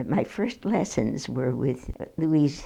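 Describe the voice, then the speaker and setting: Dark, mellow voice in an American accent, with vocal fry and very wide pitch swings. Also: woman. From Minneapolis, Minnesota. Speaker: retired piano teacher. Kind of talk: oral history interview. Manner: halting, with hesitations and restarts.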